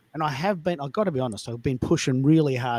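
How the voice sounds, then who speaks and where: A man speaks in an animated tone with very wide pitch swings. The sound is dry and close, with no echo. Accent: Australian. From Australia. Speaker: live audio show host. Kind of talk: live audio room chat. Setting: live online audio call.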